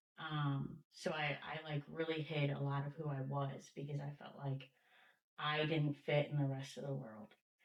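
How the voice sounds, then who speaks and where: Her voice very deep and low, a woman speaks with an American accent. Her intonation stays monotone and flat. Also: moderate pace. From Missouri, US Midwest. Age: 40s. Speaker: person in addiction recovery. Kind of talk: interview, personal testimony. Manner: hesitant, many fillers.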